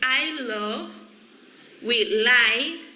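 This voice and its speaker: The voice carries a Spanish accent in a room with audible echo. Noticeable background noise sits under the speech. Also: woman. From Colombia, Cartagena. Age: 20s. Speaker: psychology student. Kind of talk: reading aloud a class self-introduction. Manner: slow, deliberate learner English.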